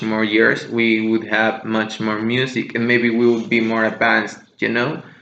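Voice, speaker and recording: Audible room echo carries the bright, sharp tone of a man speaking at a medium pitch. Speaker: music podcast host. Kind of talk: casual monologue podcast. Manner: slower than usual, deliberate; hesitant, many fillers.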